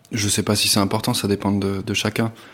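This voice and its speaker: At a moderate pace, a man speaks at a fairly low pitch. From United States and Tunisia. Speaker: visual artist. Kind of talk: interview. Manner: halting, many repetitions and fillers.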